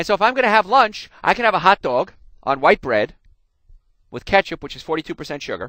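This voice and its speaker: An animated man with an American accent talks at a very fast pace in a bright, sharp tone, his pitch swinging very widely. The recording is very clean with a silent background, and the sound is dry and close, with no echo. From New Jersey. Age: 40s. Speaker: chiropractor and health radio host. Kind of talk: health talk.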